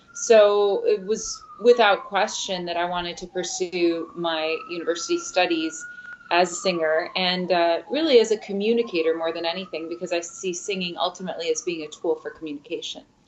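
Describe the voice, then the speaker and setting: A woman speaks fairly quickly in a medium pitch, with hardly any pauses. Her intonation stays fairly even, and there is noticeable background noise. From US Midwest, Michigan (Midland, Ypsilanti), part of childhood in Mexico. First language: Spanish. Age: young. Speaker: opera singer. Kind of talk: interview. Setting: studio.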